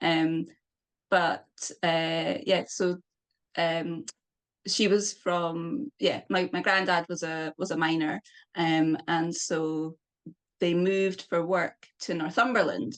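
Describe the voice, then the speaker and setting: A woman's fairly low voice in a Scottish accent, with ordinary pitch variation, a very slow pace, long, frequent pauses and a quiet background. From Scotland. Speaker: poet. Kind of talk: interview. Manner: halting.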